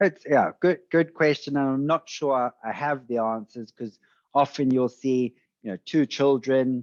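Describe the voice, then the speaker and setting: In a South African accent, a man talks at a fairly slow pace with medium pitch and ordinary pitch variation, the sound dry and close with no echo and the background quiet. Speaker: venture capitalist. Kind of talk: podcast interview.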